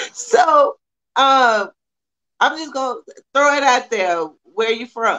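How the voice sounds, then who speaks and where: This raised, projected voice moves at a very slow pace, broken by long, frequent pauses, with big swings in loudness and very wide swings in pitch. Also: woman, high pitch for a woman. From Texas. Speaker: podcast host. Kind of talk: casual interview.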